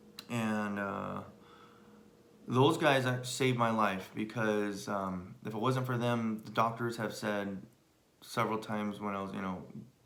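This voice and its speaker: Someone with an American accent speaks at a fairly slow pace. The intonation stays fairly even, and room echo is audible. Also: man. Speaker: husband sharing life story. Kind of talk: personal testimony. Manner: halting, many fillers.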